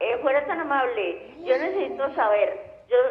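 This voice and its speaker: Through audible room echo and noticeable background noise, a woman speaks very slowly, her pitch swinging very widely. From Colombia, Tolima. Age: 60s. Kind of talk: call-in question.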